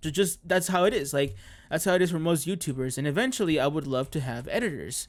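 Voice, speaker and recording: A man speaks with music in the background. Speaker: gaming YouTuber. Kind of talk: casual gameplay rant. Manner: halting, many fillers.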